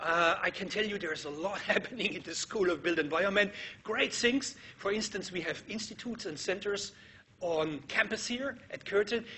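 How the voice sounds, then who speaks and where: Noticeable background noise sits under a man speaking at a high pitch. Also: ordinary pitch variation, moderate pace. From Germany. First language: German. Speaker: architecture professor. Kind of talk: lecture.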